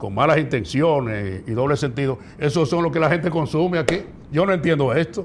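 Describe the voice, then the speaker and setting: At a moderate pace, the speech shows ordinary pitch variation over light background noise. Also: man. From Dominican Republic, La Vega; Dominican Republic. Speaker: professional radio announcer. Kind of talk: casual interview. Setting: studio. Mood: critical, indignant at times. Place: studio. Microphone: lapel.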